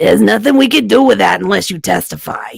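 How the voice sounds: A raspy, put-on character voice rattles along at a very fast pace.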